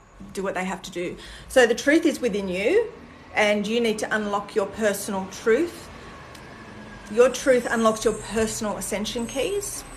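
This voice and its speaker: This woman speaks with an Australian accent at a moderate pace, her pitch fairly high with ordinary variation. Her loudness swings widely, and there is noticeable background noise. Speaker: spiritual content creator. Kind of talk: livestream chat with viewers. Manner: casual, with fillers.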